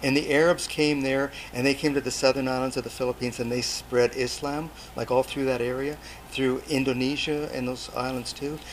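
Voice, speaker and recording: A man of medium pitch at a fairly quick pace, in a monotone, flat intonation, over noticeable background noise. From Canada, Port Alberni, British Columbia. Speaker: overseas development volunteer, agriculture teacher. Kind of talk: interview.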